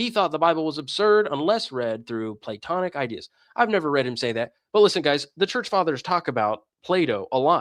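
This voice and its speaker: A man with a fairly high pitch and very wide pitch swings talks at a fairly quick pace in an animated tone, the sound dry and close with no echo on a very clean recording with a silent background. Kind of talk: livestream commentary reading chat. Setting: livestream. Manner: fast.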